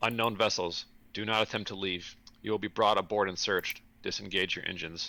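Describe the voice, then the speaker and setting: A man puts on a robotic character voice with a fairly low pitch. He moves at a fairly quick pace on a very clean recording with a silent background. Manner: robotic, flat, commanding.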